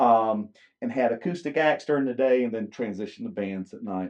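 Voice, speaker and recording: A man with a Southern US accent talks at a medium pitch and a moderate pace with ordinary pitch variation. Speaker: country musician. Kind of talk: casual interview. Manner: halting with many fillers.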